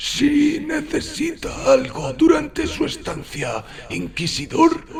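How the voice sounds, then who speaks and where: Putting on a raspy character voice, a man speaks at a very slow pace over clear background noise. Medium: read story. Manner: formal, measured, faintly disapproving.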